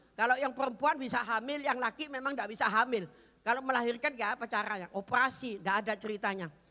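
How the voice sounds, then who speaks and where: Speaking at a very fast pace, a woman uses a high pitch and an animated tone. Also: ordinary pitch variation. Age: 70s. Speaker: pastor. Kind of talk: sermon.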